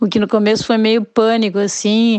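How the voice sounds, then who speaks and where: A woman speaks in a dark, mellow tone. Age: 50s. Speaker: former event organizer. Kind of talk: recorded testimony.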